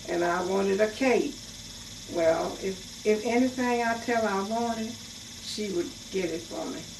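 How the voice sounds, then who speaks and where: With noticeable background noise behind her, a woman speaks fairly slowly at a fairly high pitch. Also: ordinary pitch variation. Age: 90s. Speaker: retired domestic worker. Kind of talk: interview answer.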